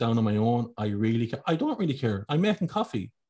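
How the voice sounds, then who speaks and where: In an Irish accent, a man at a medium pitch speaks at a very fast pace, somewhat breathy, on a very clean recording with a silent background. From Ireland. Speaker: podcast host. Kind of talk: casual interview.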